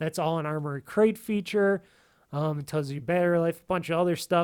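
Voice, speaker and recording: At a fairly quick pace, a man speaks with a high pitch and ordinary pitch variation. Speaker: tech reviewer. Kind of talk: product review. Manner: halting; casual.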